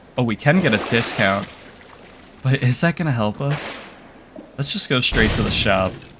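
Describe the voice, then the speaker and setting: Amid noticeable background noise, a man with a medium-pitched voice and lively intonation talks at a moderate pace with long, frequent pauses. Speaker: gaming commentator. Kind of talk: gameplay commentary.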